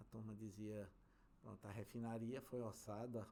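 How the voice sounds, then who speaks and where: This man's voice has a medium pitch and a dark, mellow tone. His intonation is monotone and flat. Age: 60s. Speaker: civil engineer, construction company director. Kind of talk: interview conversation.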